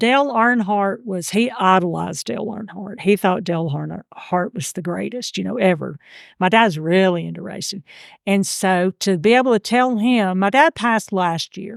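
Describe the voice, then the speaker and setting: A woman with a Georgia accent speaks at medium pitch and a moderate pace, with ordinary pitch variation and big swings in loudness. The recording is very clean and dry, close with no echo, over a silent background. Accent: Southern (Georgia). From US South, Georgia. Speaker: amateur genealogist. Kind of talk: interview conversation.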